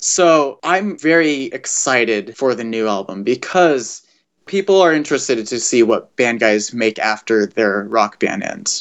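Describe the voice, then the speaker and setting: A man with an American accent speaks with lively intonation in an unremarkable speaking voice. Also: medium pitch for a man, fairly slow pace. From US West Coast, Los Angeles. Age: 20s. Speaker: musician. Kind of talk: interview.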